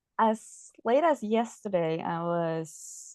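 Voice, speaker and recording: A woman with a Norwegian accent speaks at a very slow pace. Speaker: mental health advocate. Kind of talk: presentation. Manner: halting.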